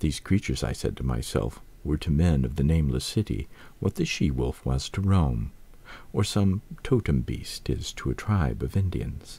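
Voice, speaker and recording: In a very clean recording with a silent background, a man with a very deep, low pitch and a dark, mellow, somewhat breathy tone speaks at a moderate pace with lively intonation and very even loudness. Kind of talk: audiobook-style reading of a horror story.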